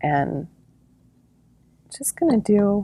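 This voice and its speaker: A quiet woman's voice with a dark, mellow tone, in a dry, close sound with no echo. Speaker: craft tutorial host. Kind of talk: tutorial. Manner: quiet speaking; casual, chatty.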